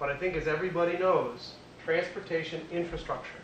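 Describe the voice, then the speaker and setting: A man with a Boston accent talks at a moderate pace over noticeable background noise. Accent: Boston-area New England. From Worcester, Massachusetts. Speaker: state transportation finance official. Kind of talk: lecture. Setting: stage with audience.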